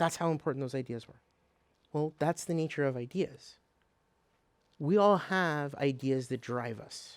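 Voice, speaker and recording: A man with a non-native accent speaks with ordinary pitch variation, big swings in loudness, and long, frequent pauses. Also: fairly high pitch for a man, moderate pace. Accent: foreign accent in his adopted country. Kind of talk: motivational lecture.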